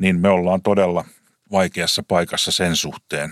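Moderate-paced speech from a man with a very deep, low pitch, dry and close with no echo, in a very clean recording with a silent background. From Finland, Lahti. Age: 50s. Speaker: taxi company CEO. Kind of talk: interview.

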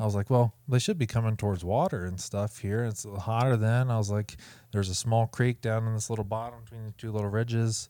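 The voice has a dark, mellow tone and fairly even intonation at a very fast pace. The recording is very clean with a silent background. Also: man, medium pitch for a man. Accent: Midwestern American. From US Midwest (Ohio). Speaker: hunting expo organizer and content creator. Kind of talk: casual chat. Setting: recorded at a hunting expo.

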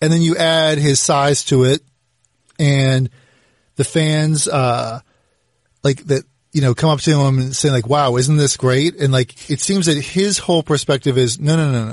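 Somewhat breathy and fairly high in pitch, a man talks at a moderate pace with fairly even intonation. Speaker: podcast host. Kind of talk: podcast host intro and interview. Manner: polished, professional, conversational.

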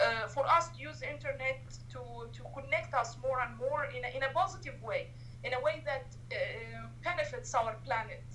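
A woman with an Arabic accent, in audible room echo. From Egypt, Cairo. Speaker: human rights activist. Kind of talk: interview.

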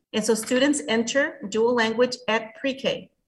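A somewhat breathy voice speaks at a moderate pace with a Spanish accent. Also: woman. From Mexico. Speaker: bilingual education administrator. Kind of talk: interview.

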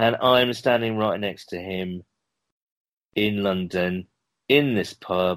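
A man with a British accent speaks at a very slow pace with long, frequent pauses, his pitch fairly low with ordinary variation. The recording is very clean with a silent background. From UK. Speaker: podcast host guest, football fan. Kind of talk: casual interview chat.

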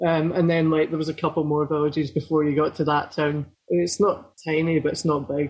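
Speaking with a central Lowlands Scottish accent, a man has a fairly high pitch and a monotone, flat intonation. His pace is fairly quick. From Scotland, Falkirk area. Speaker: hardcore band guitarist. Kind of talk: casual interview chat.

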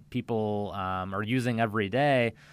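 A man with an American accent speaks at a medium pitch with ordinary pitch variation, recorded very cleanly against a silent background. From US Midwest, central Illinois. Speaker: cardiologist. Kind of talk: radio interview.

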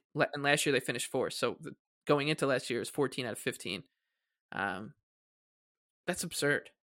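Recorded very cleanly against a silent background with a dry, close sound and no echo, a man with an American accent talks at a fairly quick pace and a fairly high pitch, using a bright, sharp tone, ordinary pitch variation, and long, frequent pauses. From Long Island, New York (South Shore). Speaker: hockey analyst and fan. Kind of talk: casual chat.

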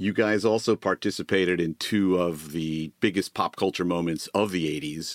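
The sound is dry and close with no echo, on a very clean recording with a silent background. Intonation stays fairly even, with hardly any pauses. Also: man, very deep, low pitch for a man, moderate pace. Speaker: podcast co-host, former TV executive. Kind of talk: casual interview chat.

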